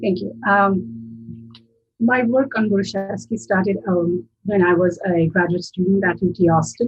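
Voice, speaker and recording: A woman with a Kashmiri accent at a fairly slow pace, her pitch swinging very widely, with music in the background. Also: medium pitch for a woman. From Kashmir, Srinagar. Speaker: linguistics professor. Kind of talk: interview. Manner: hesitant, many fillers.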